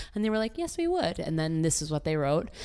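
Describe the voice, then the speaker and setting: Her pitch is very deep and low for a woman. She speaks with an American accent. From Maryland, US. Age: 20s. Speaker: actor. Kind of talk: casual chat.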